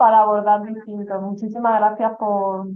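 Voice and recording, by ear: A woman's medium-pitched voice at a moderate pace, with little pitch movement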